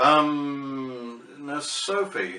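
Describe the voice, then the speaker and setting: There is noticeable background noise behind a speaker with a southern English accent. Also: man. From England, Barnet, Hertfordshire. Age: 70s. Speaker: vlogger. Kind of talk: casual vlog monologue. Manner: hesitant, with fillers.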